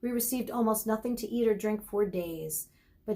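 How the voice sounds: This natural reading voice moves through its pitch in a typical way.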